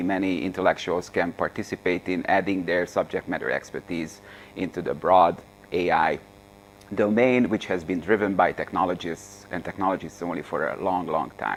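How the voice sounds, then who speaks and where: At a moderate pace, a man with a Hungarian accent talks in a very deep, low pitch. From Hungary. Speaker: AI author and speaker. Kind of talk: seminar lecture. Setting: seminar room with audience. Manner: halting, many fillers.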